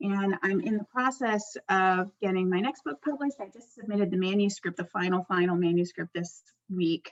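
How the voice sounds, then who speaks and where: An ordinary speaking voice with an American accent moves at a moderate pace with hardly any pauses and ordinary pitch variation. The sound is dry and close with no echo, and the loudness swings widely. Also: woman, medium pitch for a woman. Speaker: anthropologist and poet. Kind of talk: panel self-introduction.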